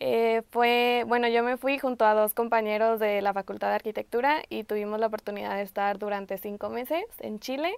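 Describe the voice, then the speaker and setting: A woman talks at a fairly quick pace with hardly any pauses and ordinary pitch variation. The sound is dry with no echo, over a quiet background. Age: 20s. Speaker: architecture student. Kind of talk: testimony. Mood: warm, enthusiastic. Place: studio.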